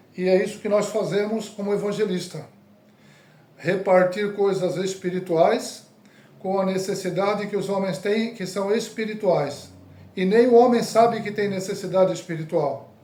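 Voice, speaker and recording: A man speaks at a moderate pace in a high pitch, his tone dark and mellow with fairly even intonation. Room echo is audible. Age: 60s. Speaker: evangelist. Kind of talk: sermon.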